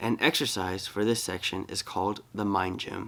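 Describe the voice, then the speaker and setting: Fairly even intonation marks speech delivered at a moderate pace. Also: man. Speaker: amateur audiobook reader. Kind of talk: casual chat; reading aloud. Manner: halting, stumbles over words.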